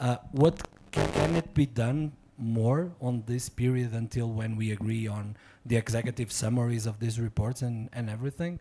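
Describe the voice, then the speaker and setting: A man speaks at a medium pitch, his tone dark and mellow and somewhat breathy. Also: ordinary pitch variation, moderate pace. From Portugal. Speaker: diplomat. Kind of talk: audience question at symposium.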